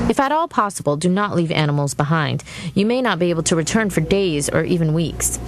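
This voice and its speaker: A very fast woman's voice, fairly low in pitch with ordinary pitch variation, amid noticeable background noise. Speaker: television reporter. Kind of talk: TV news report.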